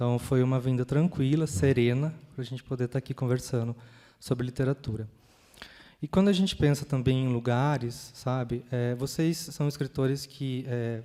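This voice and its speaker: A man with a countryside Brazilian accent speaks at a moderate pace, with a medium pitch, a dark, mellow tone and fairly even intonation. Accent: countryside Brazilian accent, noticeable. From interior of São Paulo state, Brazil. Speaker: panel moderator. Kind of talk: panel discussion. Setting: stage with audience in a library. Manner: hesitant, many fillers.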